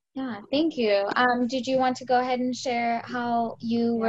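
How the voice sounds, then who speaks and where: Her intonation fairly even, a woman speaks in a high pitch at a moderate pace. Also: hardly any pauses. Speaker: patient, group moderator. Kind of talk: casual group chat. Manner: talkative.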